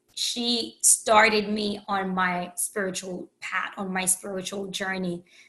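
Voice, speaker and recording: A woman's voice comes through with a bright, sharp tone. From Haiti. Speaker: empowerment coach and podcast host. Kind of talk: podcast monologue. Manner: conversational with many fillers.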